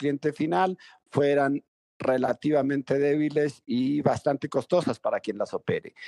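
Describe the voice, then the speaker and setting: Recorded with a dry, close sound and no echo, a man with a fairly high pitch and a dark, mellow tone speaks at a fairly slow pace. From Venezuela (rural Mérida). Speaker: telecom company founder. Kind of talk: interview.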